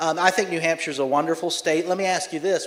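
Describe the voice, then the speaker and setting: This man's speech, in a Southern US accent, moves at a fairly quick pace. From US South, Charleston, South Carolina. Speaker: political commentator. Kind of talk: conference talk with Q&A.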